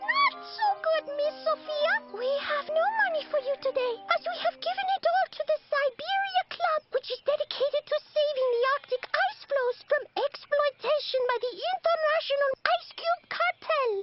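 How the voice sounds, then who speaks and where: Someone performs a put-on character voice at a moderate speed. The sound is squeaky, with pitch pushed extremely high. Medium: cartoon. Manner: humble, polite.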